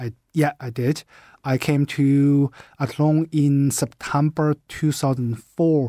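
A man with a Chinese accent speaks very slowly at a fairly high pitch, in a dark, mellow, flat monotone. The recording is very clean with a silent background, and the sound is dry and close with no echo. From China. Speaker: university department head. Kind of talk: radio interview.

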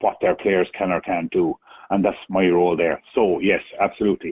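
With an Irish Midlands accent, a man speaks in a very deep, low pitch at a moderate pace, his intonation monotone and flat. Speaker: chair of a county ladies football board. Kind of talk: radio interview.

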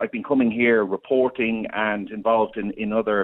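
A man speaks with an Irish accent. His pitch is fairly low, and his intonation is monotone and flat. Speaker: former radio presenter, farm co-op representative. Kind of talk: radio interview.

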